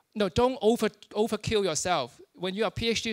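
A man's high-pitched voice at a moderate pace

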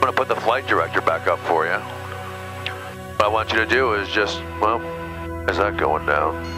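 A man speaks at a fairly low pitch with ordinary pitch variation, and the sound is dry with no echo. Clear music plays in the background. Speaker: flight instructor. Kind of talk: instruction. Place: plane. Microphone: headset.

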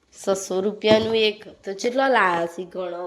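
This woman's voice carries audible room echo. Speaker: family vlogger. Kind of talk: casual vlog talk. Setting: at home.

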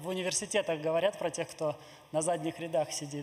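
Over light background noise, a man talks very fast with a high pitch and fairly even intonation. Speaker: event moderator. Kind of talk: moderating a public Q&A. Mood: friendly, light laughter. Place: hall. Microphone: podium.

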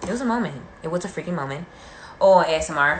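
Light background noise is present. The room echo is audible. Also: woman. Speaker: livestreamer doing makeup. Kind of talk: casual live stream chat. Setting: video call or livestream. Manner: fast talker; chatty, talkative. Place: home room. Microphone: phone near.

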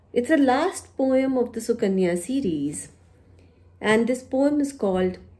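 A woman speaks with an Indian accent in a dark, mellow, somewhat breathy tone. Her pitch swings very widely. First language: Punjabi. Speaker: poet and university teacher. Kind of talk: poetry reading with introductory talk. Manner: formal. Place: home room. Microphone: phone near.

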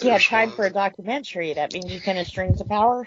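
A woman with a Texas accent at a very fast pace, over noticeable background noise. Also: medium pitch for a woman, ordinary pitch variation, big swings in loudness. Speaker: podcast co-host.

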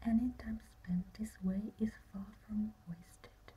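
A woman whispers at a very slow pace. She is soft-spoken. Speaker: ASMR creator. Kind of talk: ASMR relaxation reading. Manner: soft-spoken, whispered. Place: home room. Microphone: phone near.

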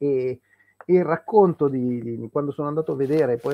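A man's very fast speech with lively intonation. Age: 50s. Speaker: history podcaster. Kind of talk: casual chat. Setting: live stream. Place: home room. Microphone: video call.

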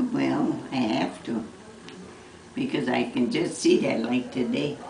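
Spoken at a very slow pace, the clip carries noticeable background noise. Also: woman. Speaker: mother recalling her son's childhood. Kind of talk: casual family conversation, reminiscing. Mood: fond, amused nostalgia. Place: home room.

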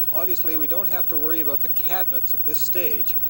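The sound is dry, with no echo, and noticeable background noise. A man talks at a fairly quick pace. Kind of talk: interview answer. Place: factory.

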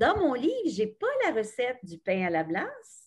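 A woman's somewhat breathy voice sounds over a quiet background. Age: 60s. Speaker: retired radio journalist. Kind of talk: book club discussion. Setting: video call. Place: home room. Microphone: webcam.

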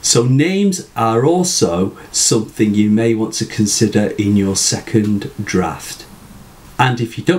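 Speaking at a fairly slow pace, a man has a British accent. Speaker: writing tutor. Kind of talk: tutorial talk to camera. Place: home room.

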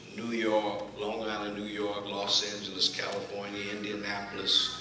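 Noticeable background noise and audible room echo surround the recording. A man with a fairly low pitch talks at a moderate pace. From Texas. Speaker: preacher delivering a sermon. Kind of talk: sermon introduction. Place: church. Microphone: camera far.

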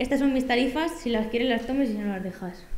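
In a room with audible echo, a woman speaks at a high pitch with ordinary pitch variation. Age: 20s. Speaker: data journalist and lecturer; data journalist, lecturer. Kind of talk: workshop talk. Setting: conference room with audience. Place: hall. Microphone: podium.

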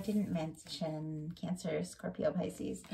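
A woman speaks with a somewhat breathy voice. Light background noise sits behind her. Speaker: tarot reader. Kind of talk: tarot reading commentary. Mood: warm, gentle. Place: home room. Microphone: phone near.

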